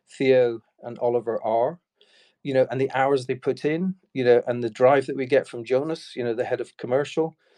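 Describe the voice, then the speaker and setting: Over a quiet background, a man with an Irish accent speaks at medium pitch and a moderate pace in a dark, mellow tone with fairly even intonation. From Ireland. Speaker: enterprise sales executive. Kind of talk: Q&A session on a video call. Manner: hesitant, many fillers.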